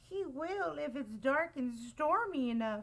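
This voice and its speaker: Putting on a character voice, a woman sounds shaky at a high pitch, with very wide pitch swings and a fairly slow pace. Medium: read story. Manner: fearful, trembling.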